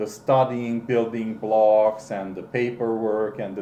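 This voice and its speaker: A man with a non-native accent speaks at a fairly slow pace, his medium-pitched voice dark and mellow in tone. Audible room echo surrounds him. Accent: foreign accent in English. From Romania, Hungarian minority. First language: Hungarian. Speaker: interviewee, father of the interviewers. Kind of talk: family interview. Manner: halting, with many repeats and fillers.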